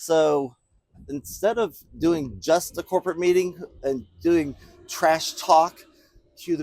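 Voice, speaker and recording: Lively intonation comes across in a dry, close sound with no echo. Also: man. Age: 60s. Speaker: business speaker. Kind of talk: motivational talk. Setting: bowling alley. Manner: casual, folksy.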